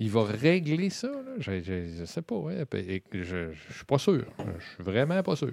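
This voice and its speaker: A man's medium-pitched voice with very wide pitch swings, a very slow pace, and a very clean recording over a silent background. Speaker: political commentator. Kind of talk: casual political discussion. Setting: studio.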